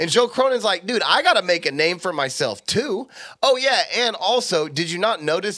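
A man with an American accent speaks at a fairly quick pace in a bright, sharp tone. His delivery is animated, with very wide pitch swings. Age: 30s. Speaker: podcast co-host. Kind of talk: casual sports talk. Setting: studio.

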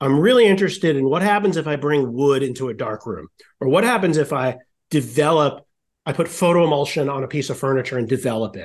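A man at a very fast pace, with fairly high pitch, lively intonation, and a quiet background. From Rhode Island. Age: 40s. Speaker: design professor. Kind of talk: casual chat.

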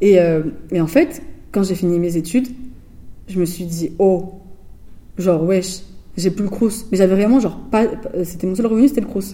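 A woman speaks at a moderate pace with a dark, mellow, somewhat breathy tone and long, frequent pauses. Her pitch is medium, with ordinary variation. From France, Bordeaux suburbs (Floirac, Bègles). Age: 20s. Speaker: visual artist. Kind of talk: interview. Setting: artist's studio. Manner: casual, hesitant with fillers.

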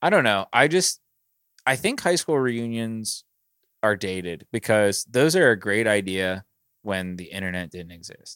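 A man's plain, everyday voice, fairly low and fairly slow with lively intonation, dry and close with no echo on a very clean recording with a silent background. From Pittsburgh area, US. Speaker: podcast co-host. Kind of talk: casual chat.

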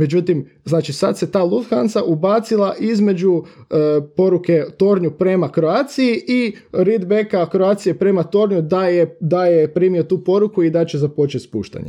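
The tone is dark and mellow, and the loudness stays very even. Pitch varies in an ordinary way at a moderate pace. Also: man, high pitch for a man. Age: 20s. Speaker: professional pilot. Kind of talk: casual interview. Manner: halting.

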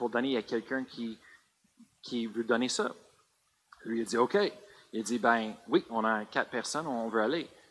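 The recording is very clean with a silent background, capturing a man at medium pitch. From US, Colorado. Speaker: pastor. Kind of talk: sermon. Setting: church. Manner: halting.

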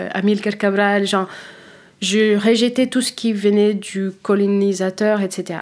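A woman with an American accent speaks in a flat monotone at a medium pitch. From United States (Philadelphia area), born in Cape Verde. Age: 30s. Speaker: wine professional, former sommelier. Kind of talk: interview. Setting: studio. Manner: halting, many hesitations.

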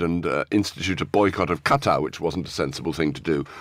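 Talking at a very fast pace with ordinary pitch variation, a man is heard on a very clean recording with a silent background. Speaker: foreign affairs journalist. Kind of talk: news discussion.

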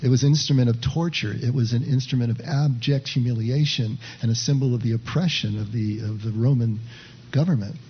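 With a somewhat breathy voice at a medium pitch, a man speaks at a fairly quick pace with fairly even intonation and audible room echo. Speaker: pastor leading a contemplative practice group. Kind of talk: sermon; guided meditation. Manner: hesitant, many filler words.

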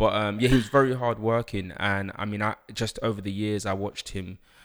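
Speaking with a London accent, a man talks at a fairly quick pace in a monotone, flat delivery at a fairly low pitch. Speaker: author and life coach. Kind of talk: interview. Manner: hesitant, many fillers.

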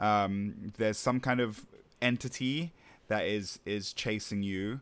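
On a very clean recording with a silent background, a man with a normal speaking voice talks at a medium pitch with fairly even intonation. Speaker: podcast host. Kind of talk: casual chat.

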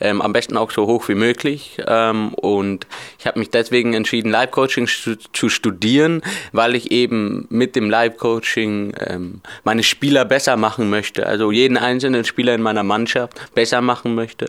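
Male voice of medium pitch with fairly even intonation at a moderate pace. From Bavaria, Germany. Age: 20s. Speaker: deaf footballer and coaching student. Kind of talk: interview. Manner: hesitant, many fillers.

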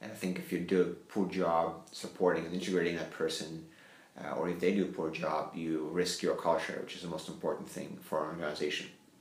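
Very fast speech in a non-native accent comes with monotone, flat intonation. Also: man, very deep, low pitch for a man. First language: not English. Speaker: company CEO. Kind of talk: interview.

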